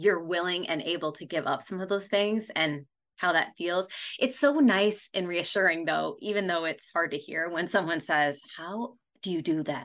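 This is an ordinary speaking voice from a woman, fairly low in pitch with ordinary pitch variation. She talks at a moderate pace over a quiet background. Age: 40s. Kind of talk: casual interview chat.

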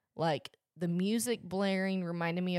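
A woman's normal speaking voice in an American accent, fairly even in intonation and moderate in pace, on a very clean recording with a silent background. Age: young. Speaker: podcast co-host, college student. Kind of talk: casual chat.

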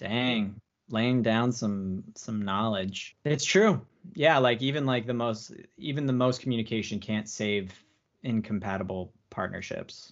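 A man's fairly slow delivery in an ordinary speaking voice, pitched medium, with ordinary pitch variation. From US Southwest (Phoenix, Arizona). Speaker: improv comedian. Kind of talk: casual chat. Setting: video call.

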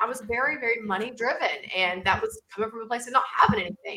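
With a Southern US accent, a woman speaks in an animated tone at a fairly high pitch. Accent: Southern US (Georgia). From US South, southern Georgia. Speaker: marketing coach. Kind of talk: interview. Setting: video call.

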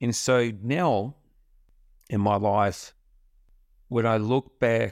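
A man with a New Zealand accent and ordinary pitch variation, on a very clean recording with a silent background. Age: 50s. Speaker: podcast host, self-development coach. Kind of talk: solo motivational monologue. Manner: casual, conversational.

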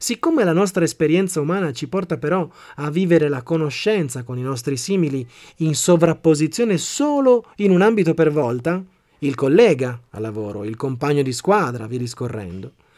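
A man speaks in a dark, mellow tone with very wide pitch swings. The recording is very clean, the background silent. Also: fairly high pitch for a man, moderate pace. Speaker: podcast host and motivational speaker. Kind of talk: scripted narration.

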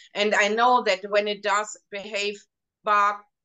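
A woman with a German accent at a medium pitch, fairly slow in pace and fairly even in intonation. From Germany. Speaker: hypnotherapist. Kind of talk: casual interview chat. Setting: video call.

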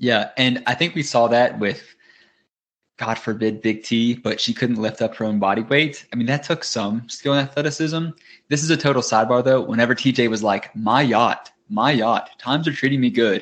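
Over a quiet background, a man with a strong Southern US accent speaks with ordinary pitch variation. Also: medium pitch for a man, moderate pace. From US South. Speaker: podcast co-host. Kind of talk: casual chat. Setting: video call.

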